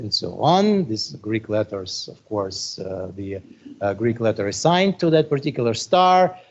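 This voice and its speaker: A man with a Russian accent at medium pitch and a moderate pace, with very wide pitch swings and big jumps in loudness. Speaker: astronomy professor. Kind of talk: lecture. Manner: halting, many fillers.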